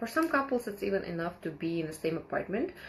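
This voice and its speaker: A woman's speech races along at a very fast pace while noticeable background noise runs underneath. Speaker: live stream host. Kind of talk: live stream talk. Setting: live online broadcast. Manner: halting.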